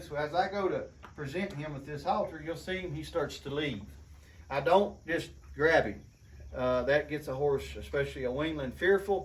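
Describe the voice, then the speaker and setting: Audible room echo accompanies speech at a fairly quick pace. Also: man. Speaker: horse trainer. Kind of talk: tutorial. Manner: soft-spoken.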